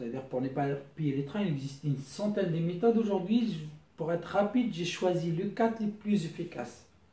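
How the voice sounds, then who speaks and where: A man with a non-native accent, high-pitched, dark and mellow in tone, lively in intonation, with audible room echo. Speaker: YouTuber giving money-saving tips. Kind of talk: casual tutorial. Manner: halting.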